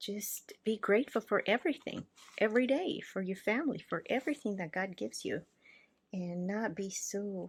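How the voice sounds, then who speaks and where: A woman speaks at a moderate pace with a somewhat breathy, medium-pitched voice and lively intonation. The recording is very clean, with a silent background. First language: not English (English is third language). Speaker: art journaling creator. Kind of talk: casual craft tutorial talk with faith reflection. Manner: casual, hesitant.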